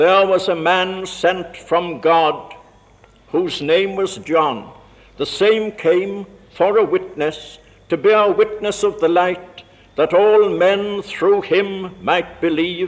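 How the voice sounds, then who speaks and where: At a very slow pace, a man with a high pitch speaks in a solemn tone and fairly even intonation. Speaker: university vice chancellor. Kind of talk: scripture reading at a carol service. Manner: slow, solemn. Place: church. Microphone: old recording.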